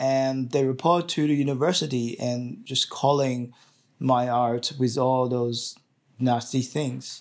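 In a Chinese accent, a man speaks very slowly at a medium pitch with fairly even intonation, on a very clean recording with a silent background. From China. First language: Mandarin Chinese. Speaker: dissident artist. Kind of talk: interview.

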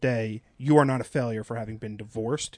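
A man talks at a fairly quick pace, with an ordinary speaking voice. His pitch varies in an ordinary way. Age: 30s. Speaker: podcast host. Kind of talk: casual chat.

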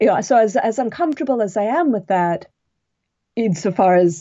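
With very wide pitch swings, a woman talks in an American accent. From US West Coast, Los Angeles. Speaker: novelist and historian. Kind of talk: interview. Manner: halting.

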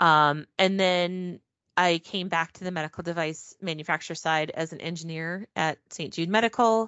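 In an unremarkable speaking voice, a woman talks at a moderate pace with a fairly low pitch, fairly even intonation and big swings in loudness. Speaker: packaging engineering specialist. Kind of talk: casual interview.

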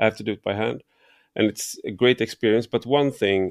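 Here a man speaks in a Swedish accent with a fairly low pitch. The recording is very clean, with a silent background. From Sweden. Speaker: podcast host. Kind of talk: interview conversation. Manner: halting.

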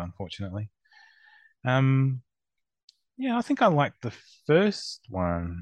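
A man with an Australian accent at a fairly slow pace, dry and close with no echo, against a quiet background. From Melbourne, Australia. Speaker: co-judge. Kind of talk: casual chat.

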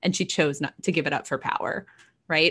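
The background stays quiet. Speech comes in an American accent. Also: woman. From Texas. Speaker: novelist and features writer. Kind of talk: casual interview chat.

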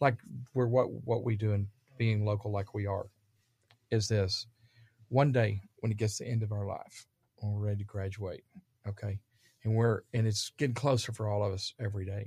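In a Texan accent, a man speaks at a moderate pace with long, frequent pauses and a fairly low pitch. His tone is dark and mellow, his intonation monotone and flat, and the recording very clean with a silent background. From Dallas, Texas. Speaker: real estate developer. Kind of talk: casual interview. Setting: studio.

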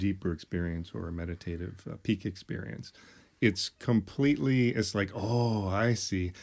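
A man in a normal speaking voice, fairly low in pitch, with ordinary pitch variation and a moderate pace, on a very clean recording with a silent background. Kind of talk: casual conversation.

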